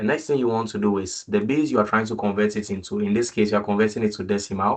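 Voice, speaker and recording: A man talks in a normal speaking voice, fairly low in pitch with fairly even intonation. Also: quiet background. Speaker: student tutor leading a makeup class. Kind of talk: online tutorial session.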